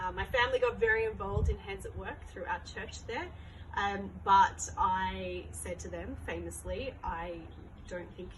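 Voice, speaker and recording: Amid noticeable background noise and audible room echo, a woman talks at a moderate pace with big swings in loudness. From Australia. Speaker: charity worker, former teacher. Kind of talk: interview. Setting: charity site in South Africa.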